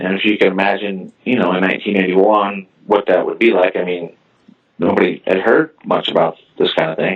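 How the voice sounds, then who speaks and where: Speaking at a moderate pace with ordinary pitch variation, a man talks with a slight Midwestern accent. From US Midwest, southern Illinois. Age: 40s. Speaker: interview guest, crime witness. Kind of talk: interview testimony. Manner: halting, many repetitions and fillers.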